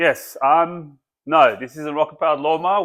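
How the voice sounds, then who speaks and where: A man talks at a moderate pace. The recording is very clean, with a silent background. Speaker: home car mechanic and video maker. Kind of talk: casual talk to camera. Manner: stutters, hesitant with many fillers.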